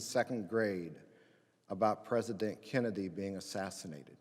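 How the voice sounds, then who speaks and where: Audible room echo fills the space. Within it, a man talks in an American accent. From Indiana, US Midwest. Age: 60s. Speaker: pastor. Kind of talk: chapel talk. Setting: chapel with student audience.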